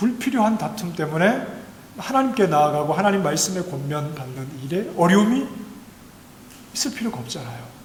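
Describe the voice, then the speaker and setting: A man's high-pitched voice with very wide pitch swings at a moderate pace, audible room echo and noticeable background noise. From Gyeongsang province, South Korea. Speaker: pastor. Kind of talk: sermon. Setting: church.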